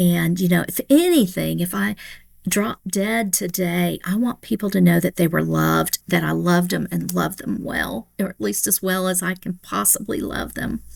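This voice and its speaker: A woman speaks at a moderate pace in a Tennessee accent. The recording is very clean, with a silent background. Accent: Tennessee, Southern US. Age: 60s. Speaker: pastor. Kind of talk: podcast interview.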